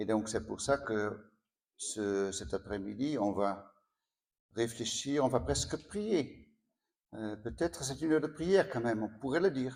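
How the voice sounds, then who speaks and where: A man at a medium pitch speaks with lively intonation and long, frequent pauses, on a very clean recording with a silent background. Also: fairly slow pace. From Netherlands. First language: Dutch (speaking French). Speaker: priest. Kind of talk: spiritual talk. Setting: sanctuary with audience. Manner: halting.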